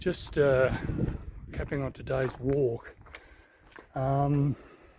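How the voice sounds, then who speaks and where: Over noticeable background noise, a man speaks at a very slow pace in a fairly high pitch with monotone, flat intonation. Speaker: walking vlogger. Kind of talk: travel vlog narration. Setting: outdoors walking. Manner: quiet; hesitant, many fillers.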